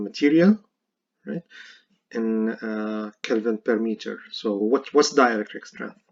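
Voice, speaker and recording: A man speaks with a non-native accent. His pitch is medium, and his intonation is fairly even. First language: not English. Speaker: university professor. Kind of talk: lecture. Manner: halting, many fillers.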